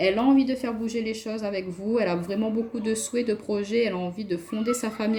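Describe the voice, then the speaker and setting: A woman talks at a very fast pace with a fairly high pitch and fairly even intonation. Noticeable background noise runs behind her. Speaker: tarot card reader. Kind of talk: tarot reading.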